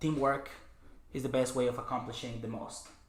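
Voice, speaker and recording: A man talks at a fairly quick pace in a monotone, flat intonation, with audible room echo around him. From Mexico, Chihuahua. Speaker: cleaning business owner. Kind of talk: podcast interview. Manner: halting, many fillers.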